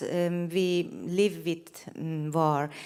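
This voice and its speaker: A woman with a fairly low pitch is heard on a very clean recording with a silent background. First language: Persian. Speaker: photographer. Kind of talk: stage presentation. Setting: stage with large audience. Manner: halting, many fillers.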